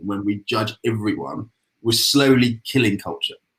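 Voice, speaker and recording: This man has a British accent, a medium pitch and fairly even intonation. The recording is very clean, with a silent background. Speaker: agency president. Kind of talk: panel discussion. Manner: mumbling; halting.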